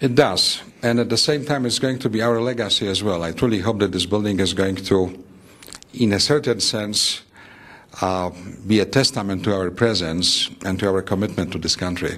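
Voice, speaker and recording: With a Polish accent, a man speaks at a moderate pace and with ordinary pitch variation against noticeable background noise. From Poland. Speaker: architect. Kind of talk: interview. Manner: measured, formal.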